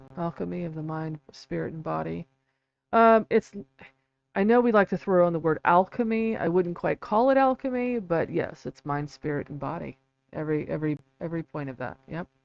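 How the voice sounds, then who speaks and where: Mumbling at a fairly quick pace, a woman with a fairly low pitch uses lively intonation and big swings in loudness. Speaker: independent researcher and author. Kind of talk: live stream talk. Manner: halting, many fillers.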